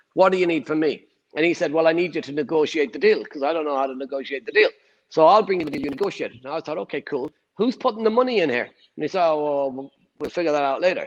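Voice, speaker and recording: A man with an Irish accent at a very fast pace, fairly high in pitch, with lively intonation and big swings in loudness. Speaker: property investor. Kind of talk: interview answer.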